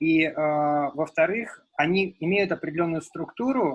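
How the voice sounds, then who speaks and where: This man's fairly high voice moves with ordinary pitch variation. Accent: Russian. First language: Russian. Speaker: researcher. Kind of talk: seminar discussion. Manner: halting.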